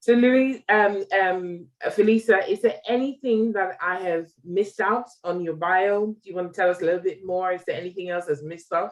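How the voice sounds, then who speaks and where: A woman with a British accent at medium pitch, moderate pace, ordinary pitch variation and hardly any pauses. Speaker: diabetes platform founder and interviewer. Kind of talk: interview. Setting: video call. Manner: animated.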